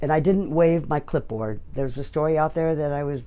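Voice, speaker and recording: A woman with an American accent speaks at a fairly quick pace in a very deep, low pitch and a dark, mellow tone, with audible room echo. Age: 80s+. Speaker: political canvasser. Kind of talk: press interview.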